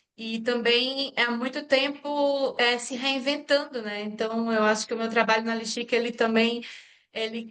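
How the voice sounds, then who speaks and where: A woman is speaking. She talks with a Pernambuco accent. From Brazil, Pernambuco. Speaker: engineer and social entrepreneur. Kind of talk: interview. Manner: halting, many fillers.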